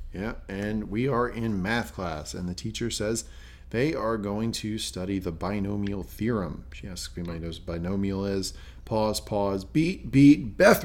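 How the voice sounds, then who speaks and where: A man with an American accent talks at a fairly slow pace in a fairly low pitch. It is an unremarkable speaking voice. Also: lively intonation. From US South. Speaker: podcast host. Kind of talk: casual chat.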